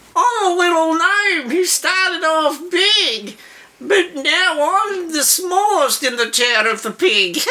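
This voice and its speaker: In a put-on character voice, a man cackles at an extremely high pitch and a fairly slow pace. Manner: cackling, gleeful, gross.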